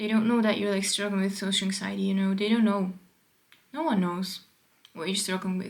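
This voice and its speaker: Pausing long and often, a woman speaks at medium pitch with fairly even intonation. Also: fairly quick pace. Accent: non-native. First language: not English. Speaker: vlogger. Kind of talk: casual monologue. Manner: rambling with many fillers.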